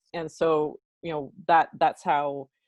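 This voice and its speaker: Against a quiet background, a woman speaks in a very deep, low voice with fairly even intonation and a dry, close sound with no echo. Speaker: nonprofit executive director. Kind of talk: interview. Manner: halting, many fillers.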